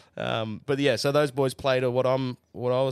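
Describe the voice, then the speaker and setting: A man with an Australian accent is heard on a very clean recording against a silent background. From Australia, New South Wales. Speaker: country music singer and songwriter. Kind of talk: casual chat.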